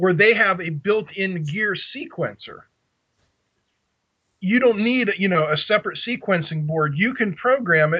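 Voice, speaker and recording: A fairly slow Pittsburgh accent with lively intonation and long, frequent pauses. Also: man, high pitch for a man. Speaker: radio control hobbyist. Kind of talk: casual chat.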